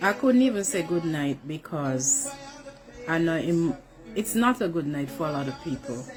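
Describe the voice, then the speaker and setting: Over background music, a woman speaks at a fairly slow pace in a fairly low pitch, her voice swinging very widely in pitch. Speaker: mother. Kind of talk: emotional selfie video plea.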